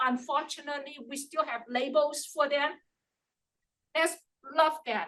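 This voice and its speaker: A woman's raised, projected voice, high-pitched with a bright, sharp tone, at a fairly slow pace with ordinary pitch variation. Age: old. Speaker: public commenter. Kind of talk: public comment. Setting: public meeting.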